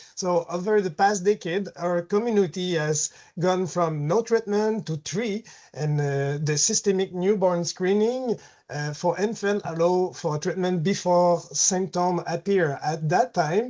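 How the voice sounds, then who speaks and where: Speech in a Quebec accent comes at a fairly slow pace over a quiet background. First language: French. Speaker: caregiver. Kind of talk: webinar presentation.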